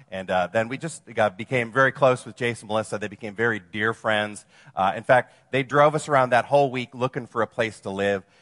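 A man with an American accent and an ordinary speaking voice talks at medium pitch and a fairly quick pace, with hardly any pauses and ordinary pitch variation. The background is quiet, and the sound is dry and close with no echo. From Wisconsin, US Midwest. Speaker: campus ministry missionary and speaker. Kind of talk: sermon.

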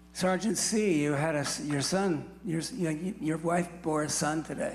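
In an American accent, a man speaks at a high pitch. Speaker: Vietnam veteran giving testimony. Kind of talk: testimony storytelling.

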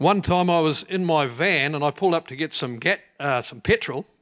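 A fairly high-pitched man with ordinary pitch variation, in a very clean recording with a silent background. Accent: New Zealand. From New Zealand. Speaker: churchgoer telling faith stories. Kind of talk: storytelling to audience. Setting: church stage with audience.

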